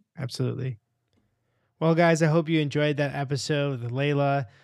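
Flat, monotone delivery in an American accent. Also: man. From Rochester, New York, US. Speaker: podcast host. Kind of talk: podcast outro; interview conversation. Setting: video call.

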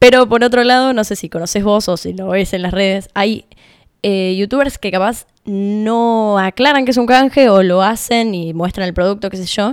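Here is a plain, everyday voice from a woman at medium pitch. She keeps a moderate pace with ordinary pitch variation. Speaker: podcast editor. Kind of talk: interview.

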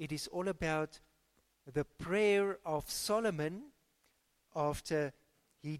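A very slow pace in a South African accent. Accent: South African English, Afrikaans-accented. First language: Afrikaans. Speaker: pastor. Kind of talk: sermon and fervent prayer in church. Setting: church. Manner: fervent, earnest, pleading.

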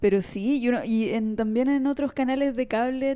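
With a dark, mellow tone and fairly even intonation, a woman speaks at a fairly slow pace over a quiet background. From Chile. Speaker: podcast co-host. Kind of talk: casual chat.

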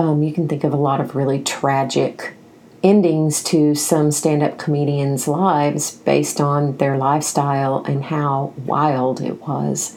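Very deep and low, a woman's voice with a Southern US accent moves at a fairly slow pace in a monotone, flat intonation. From US South, Nashville, Tennessee. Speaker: podcast host. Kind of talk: book review monologue.

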